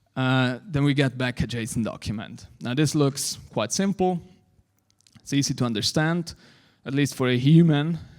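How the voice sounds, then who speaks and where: The speech moves at a moderate pace with ordinary pitch variation, recorded very cleanly against a silent background. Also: man, fairly high pitch for a man. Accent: non-native. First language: not English. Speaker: conference speaker on web APIs. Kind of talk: technical conference talk. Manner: hesitant, many fillers.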